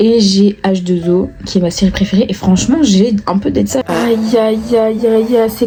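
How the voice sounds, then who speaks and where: Music in the background behind a woman at medium pitch, moderate pace and fairly even intonation. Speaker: vlogger. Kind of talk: casual vlog talk to camera.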